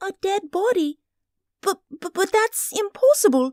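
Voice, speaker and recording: A female-sounding voice puts on a character voice at an extremely high pitch. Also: moderate pace. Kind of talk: radio drama performance.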